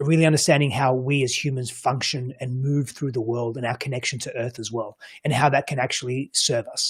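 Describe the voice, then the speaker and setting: A man's somewhat breathy, medium-pitched voice with an Australian accent, fairly quick with hardly any pauses, and monotone, flat intonation. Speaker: coach and psychology practitioner. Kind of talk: panel discussion. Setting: virtual roundtable. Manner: halting, many repeated words.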